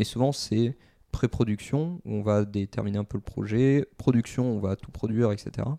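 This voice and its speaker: A man with a dark, mellow tone speaks at a moderate pace and fairly low pitch, with ordinary pitch variation. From France, Bordeaux. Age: 20s. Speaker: game designer. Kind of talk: interview. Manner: hesitant, many fillers.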